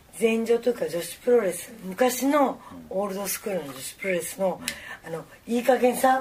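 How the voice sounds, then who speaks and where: A woman with a fairly high pitch and lively intonation talks at a moderate pace through noticeable background noise. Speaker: professional wrestler. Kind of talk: casual chat.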